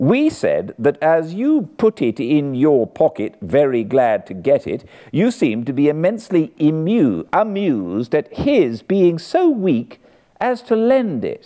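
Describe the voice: Putting on a character voice, a man speaks slowly with few pauses in a fairly high pitch, a dark, mellow tone and very wide pitch swings.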